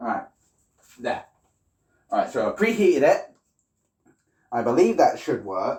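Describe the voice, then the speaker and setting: A man with a British accent at a moderate pace, with long, frequent pauses. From Britain. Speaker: livestreamer. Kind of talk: casual livestream cooking chat.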